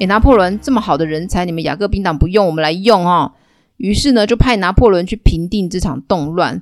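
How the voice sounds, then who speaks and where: At a fairly quick pace, a woman talks in an animated tone with a medium pitch and ordinary pitch variation. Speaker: history storytelling podcaster. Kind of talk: storytelling monologue.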